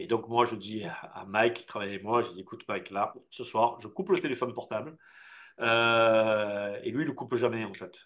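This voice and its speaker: At a moderate pace, a plain, everyday voice speaks with ordinary pitch variation and big swings in loudness. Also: man, medium pitch for a man. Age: 50s. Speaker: business owner, film studio founder. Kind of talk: interview.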